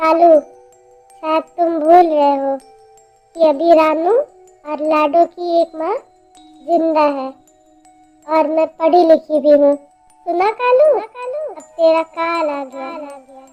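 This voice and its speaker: Over faint music in the background, a woman uses a put-on character voice at extremely high pitch and a very slow pace. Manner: menacing, cackling.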